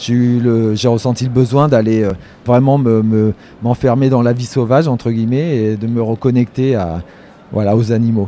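A man speaks in an ordinary speaking voice at medium pitch, keeping a moderate pace and fairly even intonation. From France, Poitou (rural). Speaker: wildlife photographer. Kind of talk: interview by schoolchildren. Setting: photography festival.

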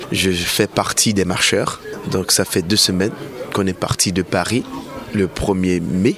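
Over noticeable background noise, a man with a very deep, low pitch speaks at a very slow pace with long, frequent pauses. His loudness stays very even and his intonation fairly even. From Haiti. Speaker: undocumented migrant marcher. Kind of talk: interview.

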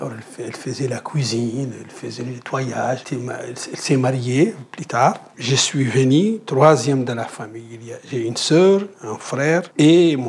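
Over noticeable background noise, a man speaks at a very slow pace with hardly any pauses, ordinary pitch variation and big swings in loudness. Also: medium pitch for a man. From Mauritania. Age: 50s. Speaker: anti-slavery activist. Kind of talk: interview testimony. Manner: halting with repetitions.

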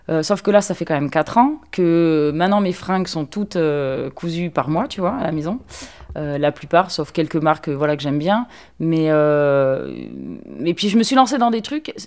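A woman's fairly low voice at a fairly slow pace, with lively intonation. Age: 30s. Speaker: fashion designer. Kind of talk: casual chat. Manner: hesitant.

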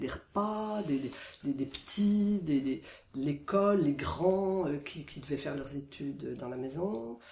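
A woman's very deep, low voice with lively intonation, big swings in loudness and noticeable background noise. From France, Isère. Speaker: villager recalling childhood. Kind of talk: oral history interview.

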